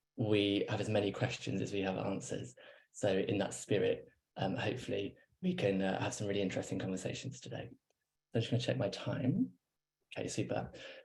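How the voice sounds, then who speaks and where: A man's fairly low voice with vocal fry, ordinary pitch variation and a fairly quick pace. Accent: British. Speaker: academic researcher. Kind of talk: webinar presentation. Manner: fast.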